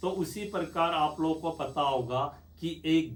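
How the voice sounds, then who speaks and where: This man's pitch is fairly high. His voice is somewhat breathy. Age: 50s. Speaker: retired soldier. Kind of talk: Q&A chat.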